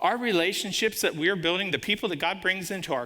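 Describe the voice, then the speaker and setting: With audible room echo, a man talks in a high pitch, his tone animated, bright and sharp, and his intonation lively. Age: 60s. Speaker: guest preacher, business owner. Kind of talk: sermon.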